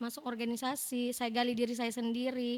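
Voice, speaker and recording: This woman talks loudly in a high voice. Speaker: student organization leader. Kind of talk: casual interview. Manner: talkative.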